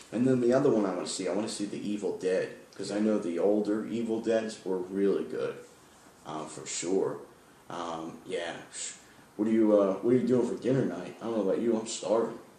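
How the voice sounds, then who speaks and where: A man with a fairly low pitch and ordinary pitch variation is heard amid noticeable background noise and audible room echo. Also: fairly quick pace. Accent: American. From New York. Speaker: podcast host. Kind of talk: casual chat.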